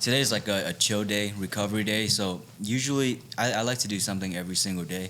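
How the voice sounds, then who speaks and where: A man with a Vietnamese accent talks at a very fast pace with a fairly low pitch. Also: ordinary pitch variation. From Vietnam, raised in Arizona from age ten. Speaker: MMA fighter. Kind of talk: casual interview chat.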